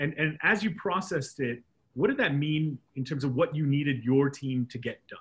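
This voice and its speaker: Speaking at a moderate pace, a man with a fairly high pitch sounds somewhat breathy and shows ordinary pitch variation. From Hong Kong. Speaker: podcast host. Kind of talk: interview. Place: office. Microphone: video call.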